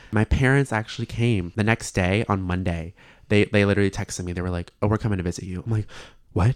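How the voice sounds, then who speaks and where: A man with an American accent speaks at a very fast pace, fairly low in pitch and with fairly even intonation. The recording is very clean, with a silent background and a dry, close sound with no echo. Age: 20s. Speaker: university student. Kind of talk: casual chat.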